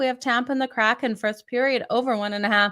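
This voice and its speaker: The recording is very clean with a silent background. A woman with a Canadian accent speaks at a fairly high pitch with ordinary pitch variation. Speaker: sports betting host. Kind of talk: sports betting picks show. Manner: fast; casual, chatty.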